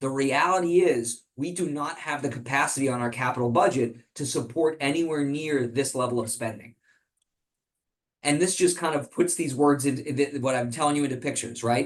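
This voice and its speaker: The man's fairly high pitch shifts in an ordinary way as he talks fairly quickly. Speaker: policy research president. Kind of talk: presentation with Q&A. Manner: fast.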